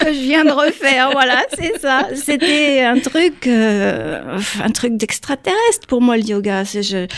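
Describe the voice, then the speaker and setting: A woman's high-pitched voice at a very slow pace with lively intonation. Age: 60s. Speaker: airline pilot and yoga author. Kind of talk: radio interview.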